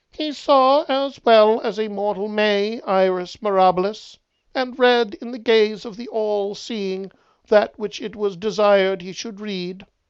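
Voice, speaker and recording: A robotic, put-on character voice, fairly high in pitch and fairly slow in pace. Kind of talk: archaic formal.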